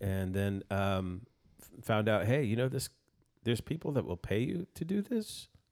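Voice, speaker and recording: On a very clean recording with a silent background, a man with an ordinary speaking voice talks at a moderate pace, fairly low in pitch and with lively intonation. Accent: American. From El Paso, Texas. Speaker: musician and producer. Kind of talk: casual interview chat. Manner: joking, playful.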